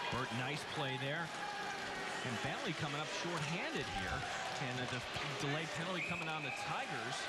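Long, frequent pauses break up the speech. Loud background noise runs throughout. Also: man. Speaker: hockey play-by-play announcer. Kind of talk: live hockey play-by-play commentary. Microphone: headset.

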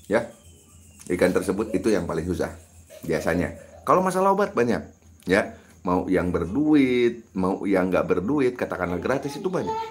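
The voice swings very widely in pitch, with long, frequent pauses. It keeps a moderate pace. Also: man. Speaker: YouTube fish farming channel host. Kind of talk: live stream Q&A tutorial. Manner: casual, conversational.

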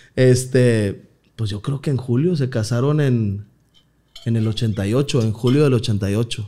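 A man's dark, mellow voice at a very slow pace with ordinary pitch variation. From Mexico, Nuevo León (Villa de Santiago, near Monterrey); Nuevo León, Mexico. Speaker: comedian. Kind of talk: casual chat. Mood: relaxed, joking storytelling. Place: studio. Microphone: studio mic.

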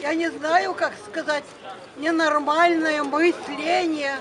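Noticeable background noise sits behind a woman speaking at a very slow pace. Her pitch is extremely high. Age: 80s+. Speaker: elderly passerby in a street argument. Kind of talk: street argument. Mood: agitated, lecturing. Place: street. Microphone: phone near.

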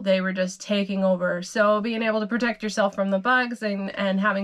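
A woman speaks at medium pitch with a fairly bright tone. Her intonation is fairly even and her pace moderate.

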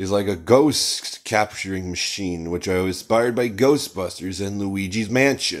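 Against a quiet background, a man with a fairly low pitch talks at a fairly slow pace with ordinary pitch variation. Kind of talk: casual vlog chat. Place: home room.

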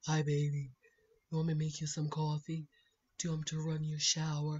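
A put-on character voice delivers its lines at a moderate pace in a flat, monotone way. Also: woman, very deep, low pitch for a woman. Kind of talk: casual vlog chat, acting out a scene. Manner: sleepy, affectionate.

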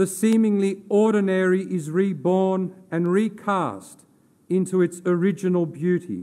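A man with an Australian accent talks at a fairly slow pace in a gentle, solemn tone that is also dark and mellow. His pitch is high for a man, yet the intonation stays monotone and flat. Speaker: theology lecturer giving a funeral eulogy. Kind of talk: formal funeral eulogy read from a prepared text in a cathedral. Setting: cathedral funeral service. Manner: solemn, measured and reverent, elevated literary diction; gentle, consoling delivery closing on a prayerful amen. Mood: solemn, reverent. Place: church. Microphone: podium.

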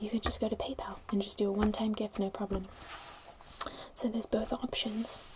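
A woman speaks at a medium pitch and a moderate pace. Her tone is slightly mellow and her intonation fairly even.

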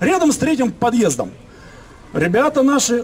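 The tone is animated. The pace is fairly slow. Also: man. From Moscow, Leninsky prospekt; Moscow. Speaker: local resident activist. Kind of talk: public speech at residents' meeting. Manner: animated, indignant. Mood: indignant, complaining. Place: street. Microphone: camera far.

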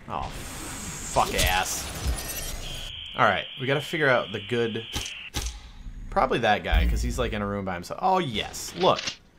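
Over background music and audible room echo, a man speaks at medium pitch and a moderate pace. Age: 20s. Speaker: gaming YouTuber. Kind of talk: gameplay commentary. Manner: animated.

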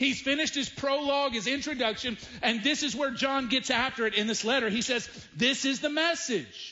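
The tone is animated, with ordinary pitch variation. Loudness stays very even throughout. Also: man. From US South. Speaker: pastor. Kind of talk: sermon. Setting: church. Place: church. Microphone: headset.

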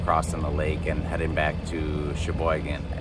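A man speaks at a moderate pace, with audible room echo and loud background noise.

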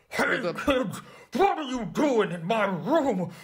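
A put-on character voice with a fairly high pitch moves at a fairly slow pace, with audible echo. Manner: playful, silly.

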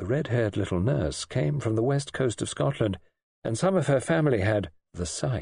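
With lively intonation, a natural reading voice comes through over a quiet background.

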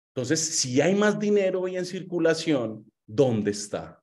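A man with a Colombian accent speaks in an animated tone with lively intonation against a quiet background. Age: 20s. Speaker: motivational speaker on personal finance; motivational speaker. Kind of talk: online seminar talk with slides. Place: home room. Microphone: webcam.

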